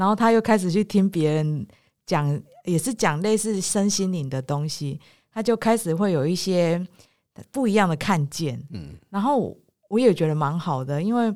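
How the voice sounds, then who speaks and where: At a moderate pace, a woman with a fairly low pitch and a dark, mellow tone speaks with lively intonation on a very clean recording with a silent background. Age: 40s. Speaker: podcast host. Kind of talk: casual chat. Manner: animated, frequent laughter.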